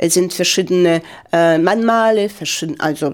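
This woman's voice sits at a fairly low pitch with fairly even intonation. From Ukraine, Donetsk. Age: 50s. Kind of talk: interview. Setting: studio. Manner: halting.

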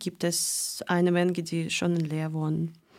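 A woman talks very slowly on a very clean recording where the background is silent. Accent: Russian. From Russia, Moscow. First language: Russian (speaking German). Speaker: volunteer organizer. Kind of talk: radio interview. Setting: studio. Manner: halting, non-fluent German.

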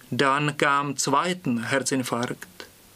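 The speaker has a Czech accent and fairly even intonation. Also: man. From Prague, Czech Republic. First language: Czech (speaking German). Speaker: language student. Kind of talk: reading aloud.

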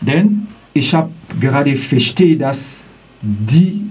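The intonation is lively. Noticeable background noise and audible room echo fill the recording. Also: man. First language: not German (speaking German). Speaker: student, eyewitness of racist incident. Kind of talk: testimony. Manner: halting.

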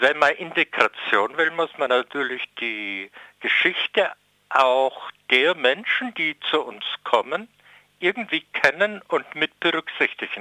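A man speaks at a very slow pace in a fairly high pitch. His pitch swings very widely. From Germany, Würzburg (Lower Franconia). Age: 70s. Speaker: author and retired educator. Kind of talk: interview. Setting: phone call.

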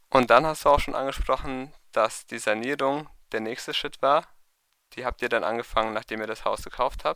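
A man's bright, sharp voice at medium pitch, with fairly even intonation and a moderate pace, in a very clean recording with a silent background. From Heidelberg, Germany. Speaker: radio reporter. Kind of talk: narrated report and interview.

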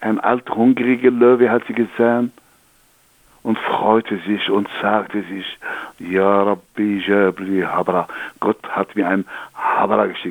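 With an Algerian accent, a man speaks at a very slow pace and keeps his intonation fairly even. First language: Algerian Arabic (speaking German). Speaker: storyteller. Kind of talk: storytelling; interview. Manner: halting.

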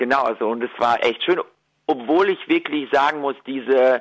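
Here a man has an ordinary speaking voice, with a medium pitch and ordinary pitch variation. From Ukraine, moved to Germany at ten. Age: young. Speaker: singer-songwriter and violinist. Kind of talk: interview.

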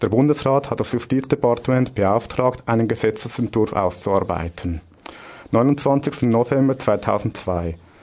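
With a normal speaking voice, a man talks at a fairly slow pace in a medium pitch, with ordinary pitch variation and very even loudness. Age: 30s. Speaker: radio host, union official. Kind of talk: scripted radio segment.

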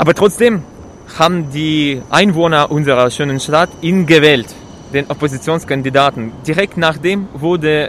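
A man with a Russian accent talks at a moderate pace, his pitch fairly high with ordinary variation. Noticeable background noise runs under him. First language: Russian (speaking German). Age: 20s. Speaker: protester, trainee lab technician. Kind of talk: street interview. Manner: halting, many fillers.

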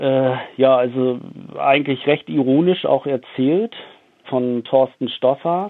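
A man talks very slowly at a medium pitch, with long, frequent pauses. His loudness stays very even, and his pitch varies in an ordinary way. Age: 40s. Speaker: publisher and author. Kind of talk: interview. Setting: phone call. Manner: halting.

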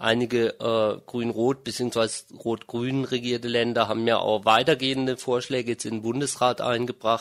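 A man at a medium pitch and moderate pace, an ordinary speaking voice with fairly even intonation. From Germany. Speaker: interviewee, dual citizen. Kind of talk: interview.

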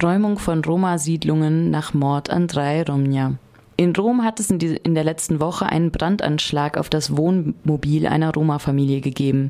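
Her pitch is very deep and low, and this woman talks at a moderate pace with very even loudness and ordinary pitch variation. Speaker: news reader. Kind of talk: newsreading. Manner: formal.

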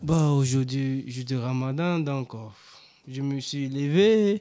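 A medium-pitched man at a very slow pace. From Ivory Coast, Abidjan. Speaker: refugee guest. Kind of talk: radio interview.

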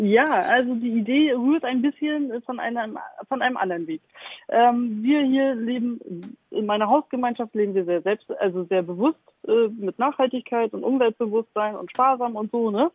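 This woman has an unremarkable speaking voice with a fairly high pitch. She keeps a moderate pace and ordinary pitch variation. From Stralsund, Mecklenburg-Vorpommern. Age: 40s. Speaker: artist. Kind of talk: interview.

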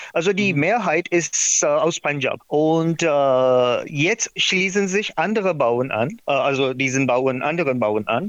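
A fairly high-pitched man with a non-native accent speaks very slowly, with very even loudness, lively intonation and hardly any pauses, over noticeable background noise. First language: not German (speaking German). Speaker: documentary filmmaker. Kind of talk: interview. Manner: halting.

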